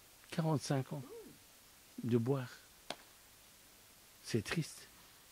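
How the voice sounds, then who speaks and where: At a very slow pace, a man with medium pitch and ordinary pitch variation talks over noticeable background noise. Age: 60s. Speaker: studio guest. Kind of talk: casual discussion.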